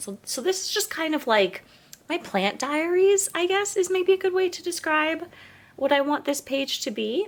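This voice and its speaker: A woman speaks with very wide pitch swings. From eastern Canada. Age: 30s. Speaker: plant youtuber, content creator. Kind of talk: casual chatty vlog while potting plants. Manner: casual, filler-heavy.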